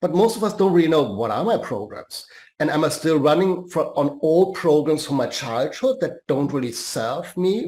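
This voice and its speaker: With a German accent, a man speaks at a fairly high pitch with lively intonation. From Germany. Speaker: life and career coach. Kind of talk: podcast interview.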